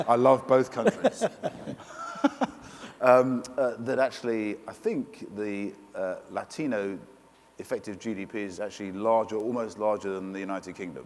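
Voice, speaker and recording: Against noticeable background noise, a speaker with a British accent talks at a moderate pace with ordinary pitch variation, big swings in loudness, and long, frequent pauses. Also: man, medium pitch for a man. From Britain. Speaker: panel moderator, media executive. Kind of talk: panel discussion. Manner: halting, many fillers.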